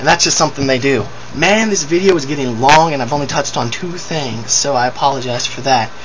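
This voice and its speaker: Speech comes at a very fast pace with ordinary pitch variation, amid audible room echo and noticeable background noise. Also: man, fairly high pitch for a man. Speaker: video blogger. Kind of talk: video response rant. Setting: webcam recording. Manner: animated. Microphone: poor webcam audio.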